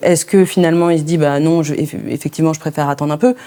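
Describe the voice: Talking fast, a woman with a low pitch keeps her intonation fairly even in a dark, mellow tone.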